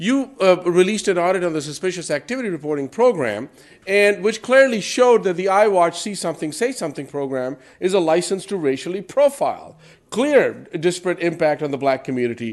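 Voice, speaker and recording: A man speaks at a fairly quick pace in a high pitch, his voice making very wide pitch swings. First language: not English. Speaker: public commenter at police commission meeting. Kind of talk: public comment at civic meeting. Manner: animated.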